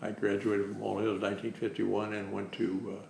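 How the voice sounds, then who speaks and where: Amid noticeable background noise, a man with a Midwestern American accent talks at a fairly quick pace in a fairly low pitch with monotone, flat intonation. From Ohio, Cincinnati. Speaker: retired family doctor. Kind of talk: oral history interview. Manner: halting, many fillers.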